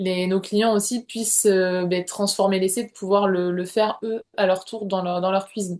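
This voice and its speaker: At a moderate pace with hardly any pauses, a woman speaks at a medium pitch in a monotone, flat intonation. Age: 30s. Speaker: naturopath, former student giving testimonial. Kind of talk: interview testimonial. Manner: hesitant, many fillers and repetitions.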